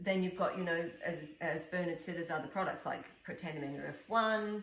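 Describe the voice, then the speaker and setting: Someone speaks at a fairly quick pace with fairly even intonation, and room echo is audible. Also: woman, fairly low pitch for a woman. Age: 60s. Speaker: wellness coach and podcast co-host. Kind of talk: casual interview chat.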